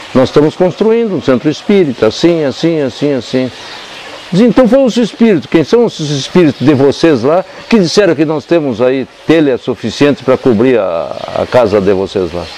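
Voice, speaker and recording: Pitch swings very widely at a moderate pace, with noticeable background noise behind it. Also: man, fairly high pitch for a man. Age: 80s+. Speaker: spiritist centre founder, psychologist. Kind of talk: interview, oral history storytelling. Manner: halting, repetitive.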